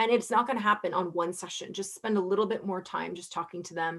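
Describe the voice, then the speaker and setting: Against a quiet background, a woman talks at a fairly quick pace, her medium pitch showing ordinary variation. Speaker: psychiatrist. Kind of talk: lecture. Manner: fast.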